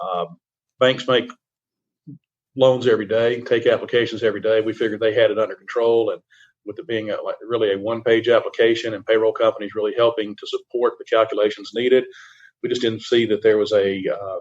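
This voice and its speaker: Someone talks at a very fast pace with a Southern US accent. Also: man. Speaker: CPA firm risk advisory lead. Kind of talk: radio interview. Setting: remote virtual radio interview. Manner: halting, many repetitions and fillers.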